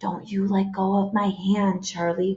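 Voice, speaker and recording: Using a put-on character voice, a woman speaks at a medium pitch. Her intonation is monotone and flat, at a moderate pace. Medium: read story.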